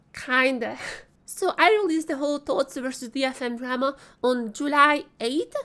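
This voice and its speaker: Her voice raised and projected, a woman speaks at a high pitch with a bright, sharp tone. She keeps a moderate pace. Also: ordinary pitch variation. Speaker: esports commentator youtuber. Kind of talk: scripted narration.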